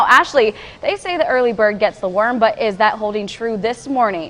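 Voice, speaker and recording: Over music in the background, a woman with a fairly high pitch speaks at a moderate pace in an upbeat tone with lively intonation. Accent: American. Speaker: TV news anchor and reporter. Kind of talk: local TV news anchor delivery. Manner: upbeat, clear, professional.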